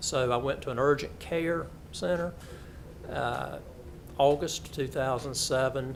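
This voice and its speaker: A man with a Southern US accent speaks at a medium pitch with ordinary pitch variation. Room echo is audible. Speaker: lawyer and cancer patient. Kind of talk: testimony. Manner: halting.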